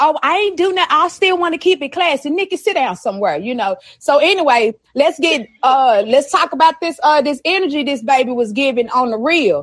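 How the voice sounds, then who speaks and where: A woman talks at a fairly quick pace with an animated tone and a high pitch. Her intonation is lively. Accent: Texan. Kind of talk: casual chat. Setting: live stream with chat.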